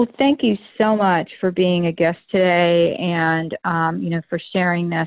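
A woman speaks in a plain, everyday voice with an American accent. Her pitch is fairly low and her pace fairly slow. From Florida. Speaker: podcast host. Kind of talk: casual interview chat. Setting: phone call.

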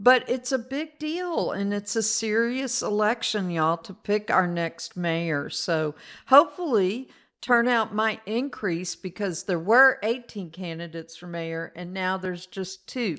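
An ordinary speaking voice moves at a fairly slow pace with lively intonation and big swings in loudness, over a quiet background. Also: woman, medium pitch for a woman. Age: 60s. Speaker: podcast host. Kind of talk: casual chat.

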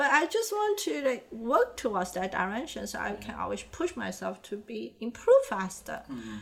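A woman with a Chinese accent speaks with hardly any pauses and big swings in loudness. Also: moderate pace. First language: Chinese (Mandarin). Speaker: animator and illustrator. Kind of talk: interview.

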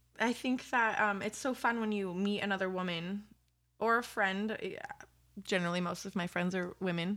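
A woman with an American accent, medium-pitched with a bright, sharp tone, at a moderate pace. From California. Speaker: podcast co-host. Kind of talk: casual chat. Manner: animated.

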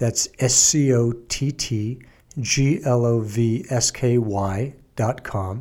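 A man's voice, medium in pitch, comes across somewhat breathy with a dark, mellow tone. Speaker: podcast host, trial lawyer. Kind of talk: interview.

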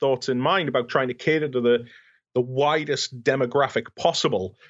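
Fairly high pitch from a man with a British accent, a fairly quick pace and ordinary pitch variation. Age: 30s. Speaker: fan convention organizer. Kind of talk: podcast interview.

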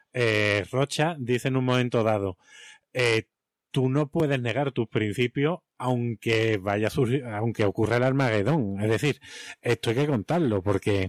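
A man speaks in a normal speaking voice at a medium pitch and fairly slow pace, with ordinary pitch variation. His loudness stays very even, and the sound is dry and close with no echo. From Spain, Seville. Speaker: teacher and podcast co-host. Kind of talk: casual chat.

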